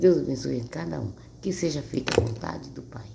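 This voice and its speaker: A woman is speaking, with audible echo from the room. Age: 60s. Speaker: Bible reader. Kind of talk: casual chat; reading aloud. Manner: halting.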